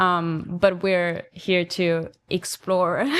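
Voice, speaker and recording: In an Austrian accent, a woman speaks very slowly at a medium pitch. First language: German. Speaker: podcast co-host, film photographer. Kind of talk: casual chat. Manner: hesitant, many fillers.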